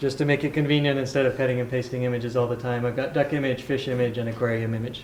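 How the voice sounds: With audible room echo behind him, a man speaks at a medium pitch with fairly even intonation.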